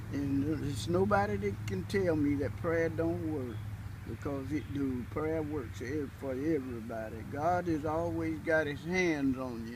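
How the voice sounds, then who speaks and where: A man talks at a fairly slow pace with lively intonation and vocal fry. Audible room echo surrounds his voice. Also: medium pitch for a man. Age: 80s+. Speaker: elderly community resident interviewed about faith. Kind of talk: interview testimony. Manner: halting, repeats words.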